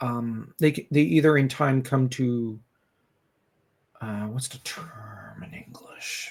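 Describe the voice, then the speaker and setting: At a very slow pace, a man speaks in a somewhat breathy, medium-pitched voice with ordinary pitch variation, long, frequent pauses and big swings in loudness. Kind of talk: casual podcast discussion. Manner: halting, with many fillers and restarts.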